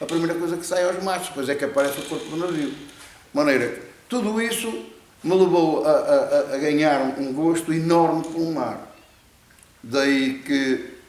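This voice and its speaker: Noticeable background noise and audible room echo surround a man with a fairly high pitch. He talks at a fairly slow pace with ordinary pitch variation. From Portugal, Viana do Castelo. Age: 70s. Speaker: fisherman. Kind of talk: interview. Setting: net warehouse. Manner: halting, many repetitions.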